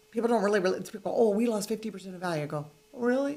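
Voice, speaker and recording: A woman speaks with a fairly high pitch. Noticeable background noise accompanies her. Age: 60s. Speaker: real estate investor. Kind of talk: casual interview.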